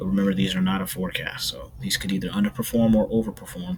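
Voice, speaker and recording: Soft-spoken and fairly low-pitched, this man talks over noticeable background noise. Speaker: weather video creator. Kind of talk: casual weather update. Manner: halting.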